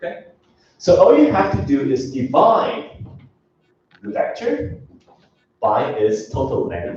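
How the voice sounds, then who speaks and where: A man at a fairly slow pace with long, frequent pauses and audible room echo. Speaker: university lecturer. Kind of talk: lecture.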